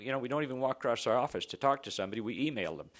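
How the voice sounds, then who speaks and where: This is a man speaking. He has a Canadian accent. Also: very clean recording, silent background. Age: 60s. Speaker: exploration geophysicist. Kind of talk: conference presentation. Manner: halting.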